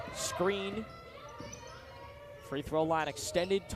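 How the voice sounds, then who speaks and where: Loud and fairly slow, a man talks at a high pitch with ordinary pitch variation over noticeable background noise. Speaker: student sports broadcaster. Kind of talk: live play-by-play commentary. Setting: studio.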